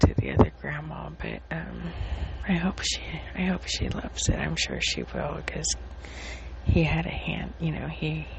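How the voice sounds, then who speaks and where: Whispering at a fairly slow pace, a woman swings widely in loudness over noticeable background noise. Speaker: podcaster sharing personal updates. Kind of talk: casual personal diary talk. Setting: recording on phone in dark living room at night. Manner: halting, many fillers. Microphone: phone.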